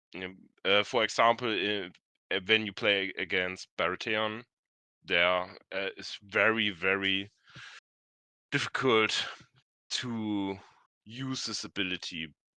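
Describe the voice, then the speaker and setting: A man with a non-native accent speaks at a very slow pace with long, frequent pauses, his fairly low voice bright and sharp in tone, his intonation fairly even, against a quiet background. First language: not English. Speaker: experienced tabletop game player. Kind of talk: live stream discussion. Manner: halting, searching for words.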